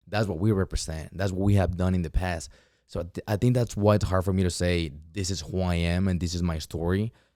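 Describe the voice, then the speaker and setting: A man's very deep, low voice with a dark, mellow tone and a Mexican accent, fairly quick and fairly even in intonation, in a very clean recording with a silent background. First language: Spanish. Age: 20s. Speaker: entrepreneur and former teacher. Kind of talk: podcast interview. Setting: studio.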